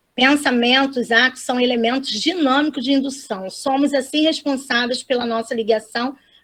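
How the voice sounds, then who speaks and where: Here a woman speaks with a high pitch and fairly even intonation. Her pace is fairly slow. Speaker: spiritist talk facilitator. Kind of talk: religious lecture.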